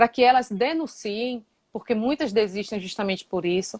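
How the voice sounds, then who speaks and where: A woman speaks with a dry, close sound and no echo. The recording is very clean, with a silent background. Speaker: guest discussing violence against women. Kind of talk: casual interview discussion. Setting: Instagram live stream.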